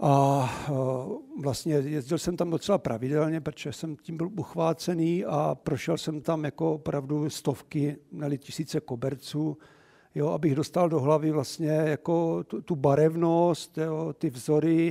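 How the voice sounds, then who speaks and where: A man's dark, mellow voice moves at a fairly slow pace with fairly even intonation, recorded dry and close with no echo in a very clean recording with a silent background. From Czech Republic, Moravia (Moravský Beroun near Olomouc). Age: 60s. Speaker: art collector. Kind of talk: lecture. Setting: cinema venue with live audience.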